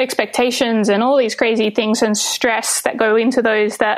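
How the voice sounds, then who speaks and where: In an Australian accent, a woman speaks at a fairly slow pace with fairly high pitch and monotone, flat intonation. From Western Australia (Albany). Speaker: wedding photographer. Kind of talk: casual interview chat. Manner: hesitant, many fillers.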